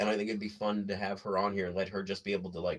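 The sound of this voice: Speaking at a very fast pace, a man uses a low pitch with little pitch movement.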